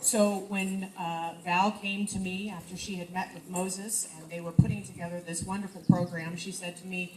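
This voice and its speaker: In an American accent, a woman speaks at a fairly low pitch with monotone, flat intonation and a moderate pace, with audible room echo and noticeable background noise. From US Midwest, Indiana. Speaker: businesswoman and leadership coach. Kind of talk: speech. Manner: loud.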